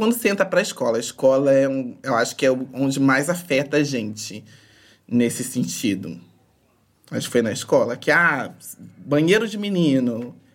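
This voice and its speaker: A woman's very deep, low voice with very wide pitch swings, a moderate pace and long, frequent pauses. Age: 20s. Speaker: podcast guest. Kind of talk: casual interview.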